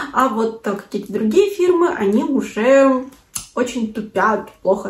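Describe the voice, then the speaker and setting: In a room with audible echo, a woman speaks in an animated tone, high-pitched and with lively intonation. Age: 20s. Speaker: video blogger. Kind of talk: vlog. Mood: cheerful, pleased. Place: home room.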